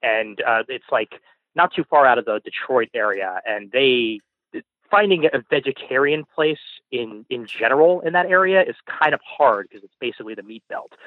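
An ordinary speaking voice from a man, fairly high in pitch, at a moderate pace, with lively intonation and big swings in loudness. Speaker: caller. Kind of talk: call-in conversation. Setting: phone call.

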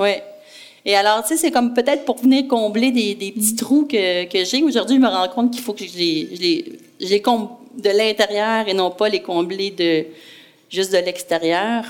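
A woman with a fairly high voice talks at a moderate pace over noticeable background noise. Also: lively intonation. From Quebec, Brossard. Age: 40s. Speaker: entrepreneur. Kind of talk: interview.

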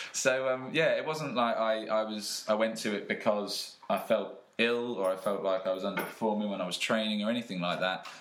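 A man talks at a fairly low pitch with fairly even intonation, fairly quick and with hardly any pauses. Audible room echo and noticeable background noise fill the recording. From England (Peterborough), partly raised in Australia. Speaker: personal trainer. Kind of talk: casual chat.

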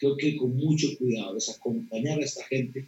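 A man talks in a Costa Rican accent. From Costa Rica, rural Alajuela near Poás. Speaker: pastor. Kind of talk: interview.

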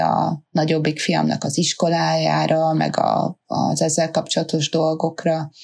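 A woman is speaking. Her pace is fairly slow. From Hungary. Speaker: rafting business owner, mother. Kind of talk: interview.

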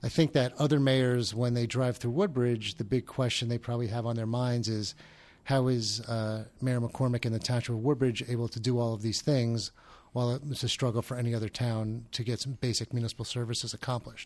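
Monotone, flat delivery from a man with a New Jersey accent at a fairly quick pace, on a very clean recording with a silent background. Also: medium pitch for a man. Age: 40s. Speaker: podcast host. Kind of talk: interview. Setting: studio. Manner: halting.

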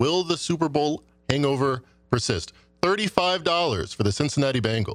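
Over music in the background, a man speaks at a moderate pace with a fairly high pitch, lively intonation and very even loudness. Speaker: sports betting panelist. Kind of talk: casual roundtable chat.

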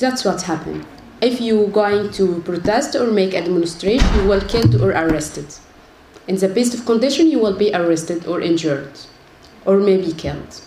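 Against noticeable background noise and audible room echo, a woman with an Arabic accent speaks with lively intonation. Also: medium pitch for a woman, moderate pace. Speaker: human rights activist. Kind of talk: panel talk. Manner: halting, repeats words.

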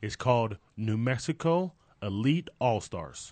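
Dry and close with no echo over a quiet background, a man uses an ordinary speaking voice at medium pitch with lively intonation. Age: 30s. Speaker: youth football coach. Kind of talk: interview.

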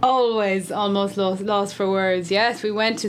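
An Irish accent colors this woman's medium-pitched voice, delivered at a moderate pace. Her intonation stays flat and monotone, with audible echo from the room. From Ireland. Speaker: podcast co-host and bass player. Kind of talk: casual chat.

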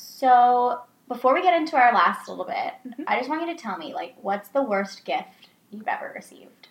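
The loudness swings a lot. Pitch swings are very wide too. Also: woman, high pitch for a woman, moderate pace. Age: 20s. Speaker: dating podcast co-host. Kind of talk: casual chat.

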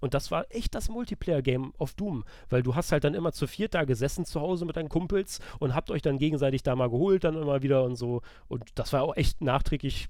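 The voice carries a dark, mellow tone with ordinary pitch variation. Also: man. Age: 30s. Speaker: video game journalist. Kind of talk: casual chat.

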